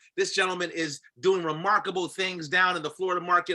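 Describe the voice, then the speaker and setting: In a raised, projected voice with a bright, sharp tone, the speaker sounds energetic and animated at a very fast pace. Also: man. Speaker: call host and business leader. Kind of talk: hype introduction. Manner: energetic, animated.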